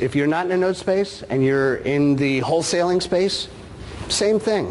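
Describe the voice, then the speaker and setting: Pitch swings very widely as a man talks at a moderate pace. Noticeable background noise and audible room echo fill the recording. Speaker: note investor, conference speaker. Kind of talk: conference talk.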